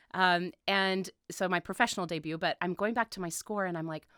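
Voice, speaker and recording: A woman talks at a fairly quick pace and a medium pitch. Background noise is noticeable. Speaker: opera singer. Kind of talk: interview. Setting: radio studio. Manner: hesitant, many fillers.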